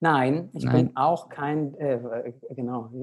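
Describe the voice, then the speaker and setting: Against a quiet background, a man with fairly high pitch speaks with ordinary pitch variation. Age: 30s. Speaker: pediatrician and medical director of a nutrition organization. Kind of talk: interview conversation. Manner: hesitant with many fillers.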